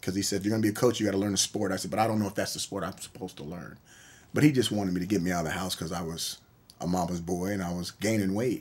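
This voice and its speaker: Over a very clean recording with a silent background, a man with an American accent speaks very fast in a very deep, low pitch with fairly even intonation. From US, military bases nationwide. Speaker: college football coach. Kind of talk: interview.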